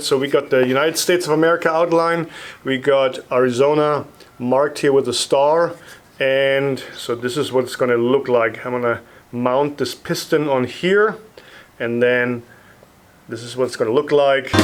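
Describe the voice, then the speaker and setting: This man talks at a moderate pace with a fairly high pitch. His pitch varies in an ordinary way. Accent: German. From Bavaria, Germany. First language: German. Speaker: woodworker, sign maker. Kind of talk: casual vlog talk to camera.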